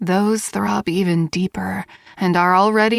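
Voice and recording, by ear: Words are read out in a natural-sounding voice. Ordinary variation marks the pitch.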